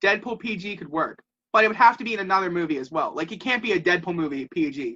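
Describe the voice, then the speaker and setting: A very fast, high-pitched male voice, raised and projected, bright and sharp in tone, animated, with lively intonation and big swings in loudness. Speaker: podcast host. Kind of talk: casual chat. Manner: fast, animated.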